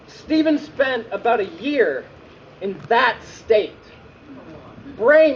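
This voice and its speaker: Over noticeable background noise, a man with an extremely high pitch speaks at a very slow pace. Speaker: slam poet. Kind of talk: slam poetry performance.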